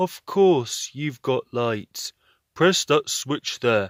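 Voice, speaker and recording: In a put-on character voice, a man speaks at a very slow pace with lively intonation and a fairly high pitch, the sound dry and close with no echo. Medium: read story.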